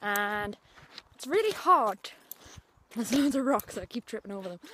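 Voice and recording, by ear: A woman speaks at a moderate pace in a medium pitch, her tone fairly bright with a slightly husky edge. Her pitch makes big swings.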